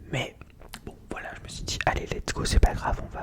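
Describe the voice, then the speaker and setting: A man whispers at a moderate pace in a relaxed tone, with noticeable background noise behind him. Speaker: ASMR content creator. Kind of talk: casual improvised ASMR chat to camera. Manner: soft-spoken, relaxed.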